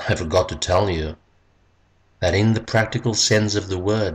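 Somewhat breathy speech at a fairly slow pace with fairly even intonation. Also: man. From South Africa. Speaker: poet, retired English teacher. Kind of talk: poetry reading.

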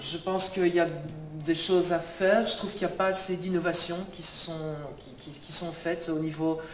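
Amid light background noise and audible room echo, a man with a high pitch speaks at a fairly slow pace in a monotone, flat intonation. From Belgium. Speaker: local election candidate. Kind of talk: public speech. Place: hall. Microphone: handheld.

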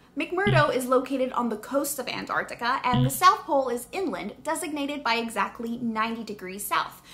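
A woman's raised, projected voice moves at a moderate pace. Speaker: science educator. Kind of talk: educational vlog explanation. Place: home room.

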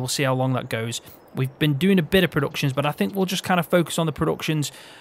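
In a Midlands accent, a man speaks at a very fast pace and a fairly high pitch with ordinary pitch variation. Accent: Midlands, often taken for northern English. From English Midlands, Peak District. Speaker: gaming video creator. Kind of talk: casual chat while playing and teaching a game.

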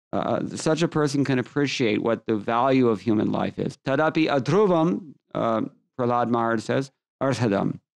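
A man with an American accent at a fairly slow pace, very even in loudness, with ordinary pitch variation and a quiet background. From US West Coast, Los Angeles. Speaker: scripture teacher. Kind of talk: lecture. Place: home room. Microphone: studio mic.

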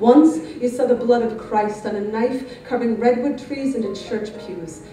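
With light background noise and audible room echo, a woman talks with ordinary pitch variation. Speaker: spoken word poet. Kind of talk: spoken word poetry performance. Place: hall.

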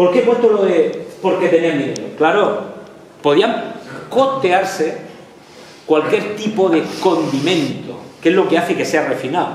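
Over light background noise and audible room echo, a man speaks at a fairly slow pace with a high pitch. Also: ordinary pitch variation. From Lorca, Murcia, Spain. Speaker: history professor. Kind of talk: lecture. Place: classroom. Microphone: camera far.

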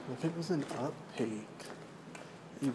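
A man's moderate-paced speech is heard with noticeable background noise. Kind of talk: casual vlog chat. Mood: mildly puzzled. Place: garage. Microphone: phone near.

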